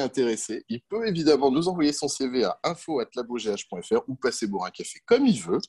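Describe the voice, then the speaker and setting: A man's voice with vocal fry and very wide pitch swings. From France, countryside. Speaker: entomologist and pest control business owner. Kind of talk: interview. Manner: hesitant, with fillers.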